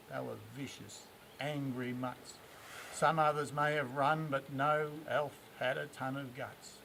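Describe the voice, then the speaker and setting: A man speaks with an Australian accent. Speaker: bush poet. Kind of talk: poetry reading. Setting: outdoors. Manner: humorous.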